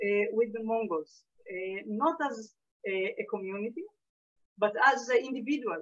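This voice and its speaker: A woman speaks very slowly in an Israeli accent. Her pitch is fairly high and her intonation lively. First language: Hebrew. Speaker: lecturer, historian. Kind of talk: lecture Q&A. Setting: video call. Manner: halting, many fillers.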